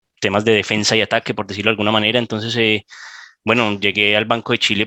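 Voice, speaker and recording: A man talks at fairly low pitch in a Colombian accent. The sound is dry and close, with no echo. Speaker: bank cybersecurity manager, panelist. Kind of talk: panel discussion. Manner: hesitant, many fillers.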